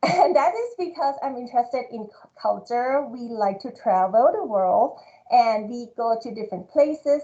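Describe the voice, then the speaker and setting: A woman with a Thai accent, fairly high in pitch, her tone dark and mellow, at a fairly slow pace against a quiet background. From Thailand (Bangkok). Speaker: marketing professor. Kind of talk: award speech.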